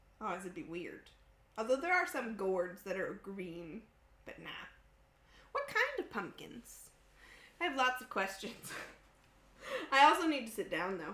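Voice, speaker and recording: A woman with a fairly high pitch talks at a fairly slow pace, with very wide pitch swings, big swings in loudness, long, frequent pauses and noticeable background noise. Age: 30s. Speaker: cooking livestream host. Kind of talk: casual chat. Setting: home studio kitchen. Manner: animated.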